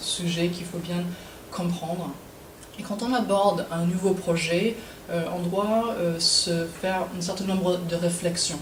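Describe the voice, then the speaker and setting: Against noticeable background noise and audible room echo, a woman speaks at a medium pitch and a fairly slow pace, with a slight American accent. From United States. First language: English (speaking French). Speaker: web developer and speaker. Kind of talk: presentation talk. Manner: hesitant, many fillers.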